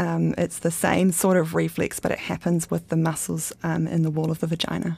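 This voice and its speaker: Recorded very cleanly against a silent background, a woman speaks. She has a New Zealand accent and a moderate pace. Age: 30s. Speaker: interviewee sharing personal experience. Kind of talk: personal interview.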